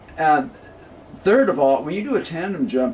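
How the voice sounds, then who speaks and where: A man's fairly quick, lively intonation over noticeable background noise. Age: 70s. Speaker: jazz clarinetist. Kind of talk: casual interview.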